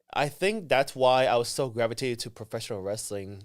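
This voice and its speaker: A man with a Vietnamese accent speaks at a moderate pace. The recording is very clean, and the background is silent. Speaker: professional wrestler. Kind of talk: casual interview chat. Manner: halting, many fillers and restarts.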